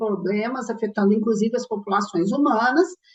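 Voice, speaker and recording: A woman speaks in a strong Minas Gerais accent, her voice somewhat breathy. Her pitch sits fairly high, with ordinary variation. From Minas Gerais, Brazil (Belo Horizonte). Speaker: ecologist and course lecturer. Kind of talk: lecture. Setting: recorded online class.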